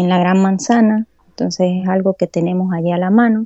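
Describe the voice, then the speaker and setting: Ordinary pitch variation accompanies a fairly slow pace of speech. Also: woman. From Venezuela, Táchira (San Cristóbal). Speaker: obstetrician-gynecologist. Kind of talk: interview conversation.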